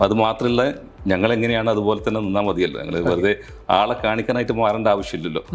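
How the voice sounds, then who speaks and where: A man speaks in an unremarkable speaking voice at a fairly low pitch. His loudness stays very even, and his pitch varies in an ordinary way. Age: 50s. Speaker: model and actor. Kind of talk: interview answer.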